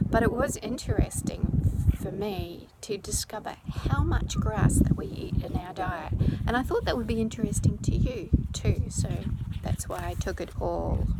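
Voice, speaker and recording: With a New Zealand accent, a woman talks at a moderate pace against noticeable background noise. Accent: New Zealand accent, self-described as funny. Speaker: children's author. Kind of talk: Q&A video for school pupils. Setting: outdoors on the coast. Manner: speaking louder over wind.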